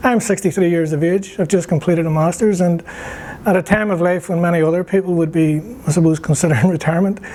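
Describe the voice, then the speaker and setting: A man with a Northern Irish accent talks at a very fast pace in a high voice. His intonation is fairly even, his loudness very even, and there is noticeable background noise. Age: 60s. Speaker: graduate student, former politician. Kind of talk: interview. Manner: halting.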